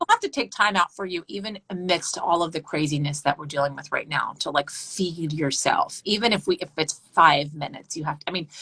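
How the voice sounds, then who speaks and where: A woman with a plain, everyday voice, fairly low in pitch, with ordinary pitch variation and hardly any pauses. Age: 40s. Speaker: news anchor. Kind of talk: casual chat.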